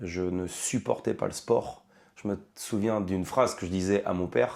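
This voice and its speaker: A man speaks at a fairly slow pace, his pitch fairly low and his tone dark and mellow. The recording is very clean, with a silent background. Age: 30s. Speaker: firefighter. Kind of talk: interview. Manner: hesitant, many fillers.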